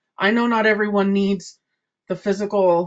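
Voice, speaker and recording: She speaks at a moderate speed in a normal speaking voice, and the speaker is a woman. Her medium pitch carries fairly even intonation. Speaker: service club trainer. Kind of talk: training presentation.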